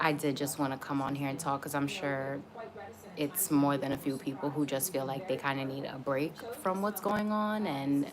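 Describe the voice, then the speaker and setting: A soft-spoken woman with an American accent, a very deep, low pitch and ordinary pitch variation, over noticeable background noise. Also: moderate pace. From Atlanta, US South. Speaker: YouTuber live streaming. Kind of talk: casual livestream chat. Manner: soft-spoken, talking quietly; casual, many fillers.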